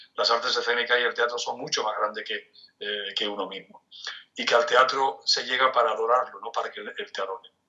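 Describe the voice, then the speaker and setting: A man talks fairly quickly, his loudness rising and falling in big swings. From Spain, Cádiz (Andalusia). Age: 60s. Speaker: theatre director and arts manager. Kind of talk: interview. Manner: halting, with frequent repetitions.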